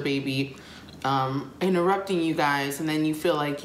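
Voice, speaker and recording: At a moderate pace, a woman with a very deep, low pitch speaks in fairly even intonation, with audible room echo and light background noise. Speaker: vlogger. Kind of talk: casual vlog chat. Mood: relaxed, confiding. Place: kitchen. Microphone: phone near.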